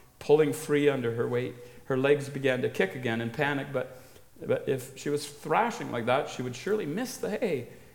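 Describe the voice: Aloud reading, plain.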